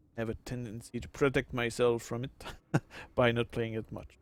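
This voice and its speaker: In a Quebec accent, a man speaks at a medium pitch and moderate pace in a flat monotone. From Quebec, Canada. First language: French. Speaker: gaming streamer. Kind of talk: live gameplay commentary. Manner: halting, many fillers.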